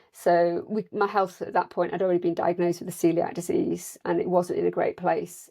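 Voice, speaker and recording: The speaker has an English accent. The pace is fairly quick, with hardly any pauses. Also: woman. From northern England, South Yorkshire. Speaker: nutritional therapist. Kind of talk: interview.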